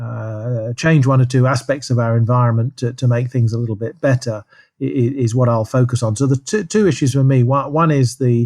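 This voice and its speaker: A man talks at a fairly quick pace with hardly any pauses. His pitch is medium, and his intonation stays fairly even. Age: 60s. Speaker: professor. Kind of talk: interview. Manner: halting.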